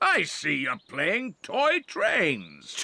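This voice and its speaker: A cartoonish character voice at a middle pitch. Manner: gruff, huffy.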